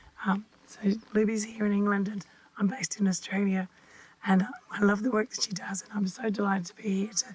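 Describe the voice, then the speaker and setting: A woman's medium-pitched, monotone voice at a fairly quick pace, flat in intonation, over noticeable background noise. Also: long, frequent pauses, big swings in loudness. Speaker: podcast host. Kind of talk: interview. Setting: at guest's home.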